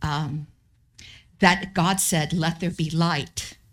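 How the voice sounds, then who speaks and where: Over a silent background in a very clean recording, a woman talks at a very slow pace in a somewhat breathy voice. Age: 70s. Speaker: missionary pastor. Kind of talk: sermon. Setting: church.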